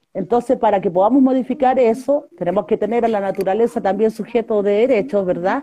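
Her pitch fairly high and her tone dark and mellow, a woman speaks at a fairly quick pace with very even loudness. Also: ordinary pitch variation. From northern Chile (Huasco Valley, Vallenar). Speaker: environmental activist and candidate. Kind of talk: interview.

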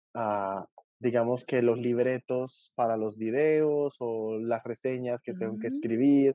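Speaking with a Colombian accent, a man uses a medium pitch and a dark, mellow tone. His pace is moderate, his pitch varies in an ordinary way, and the sound is dry and close with no echo. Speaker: YouTube book reviewer. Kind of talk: casual chat.

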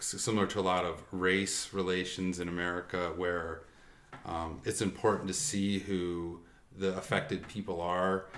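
Flat, monotone delivery in a space with audible room echo. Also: man. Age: student. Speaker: doctoral researcher in education. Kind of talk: casual interview. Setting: in person.

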